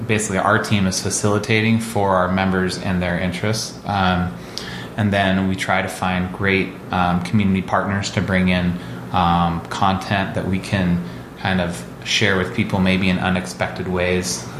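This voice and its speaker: A man with an American accent and a very deep, low pitch speaks at a moderate pace with fairly even intonation and very even loudness, over noticeable background noise and audible room echo. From US Pacific Northwest (Olympia, Washington). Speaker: co-working space founder. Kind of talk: interview conversation. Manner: frequent fillers and repeated words.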